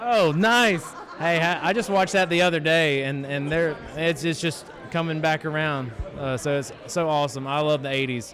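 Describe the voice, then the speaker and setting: With a Mississippi accent, a man speaks at a fairly high pitch and moderate pace amid noticeable background noise and audible room echo. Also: ordinary pitch variation. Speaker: horror media interviewer. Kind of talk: red carpet interview. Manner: animated.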